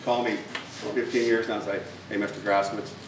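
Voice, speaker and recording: With audible room echo and noticeable background noise, a man with an American accent talks at a moderate pace in a fairly low voice. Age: 60s. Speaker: dog food company owner. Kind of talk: speech. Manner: halting, many fillers and repetitions.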